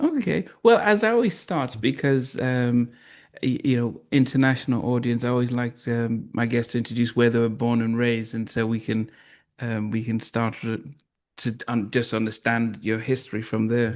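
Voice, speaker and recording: Over a quiet background, a man speaks with a Liverpool accent. His pitch sits at medium, and his intonation is fairly even. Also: moderate pace. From Liverpool, England. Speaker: podcast host. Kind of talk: interview.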